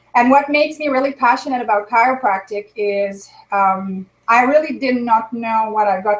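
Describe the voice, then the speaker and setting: In a French Canadian accent, a woman talks at a moderate pace with a fairly high pitch, ordinary pitch variation and big swings in loudness. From Quebec or French Ontario, small francophone town. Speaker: chiropractor. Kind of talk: interview.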